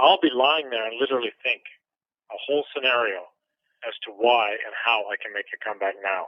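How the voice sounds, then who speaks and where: A man with a Canadian accent has a plain, everyday voice, a medium pitch, ordinary pitch variation and a fairly quick pace. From Canada. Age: 50s. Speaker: retired boxer. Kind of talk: interview.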